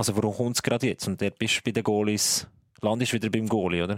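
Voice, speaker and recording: Speaking at a very fast pace, a man with a fairly low voice keeps a monotone, flat intonation throughout. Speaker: ice hockey journalist. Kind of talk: casual chat.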